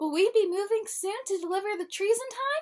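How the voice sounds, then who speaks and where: Using a put-on character voice, a woman speaks at a fairly quick pace in a squeaky, extremely high pitch with ordinary pitch variation. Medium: read story. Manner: eager, wistful.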